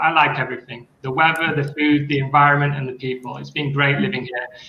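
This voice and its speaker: Talking at a very fast pace with a northern English accent, a man with fairly high pitch is heard amid audible room echo. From northern England, Sheffield. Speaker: school coordinator and teacher. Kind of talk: online panel discussion.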